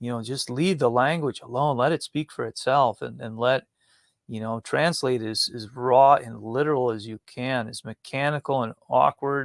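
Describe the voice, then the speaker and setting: At a moderate pace, a man with a medium pitch and fairly even intonation is heard in a dry, close sound with no echo. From Wisconsin, US Upper Midwest. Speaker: tabernacle model builder and Bible teacher. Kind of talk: interview. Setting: live stream. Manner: halting.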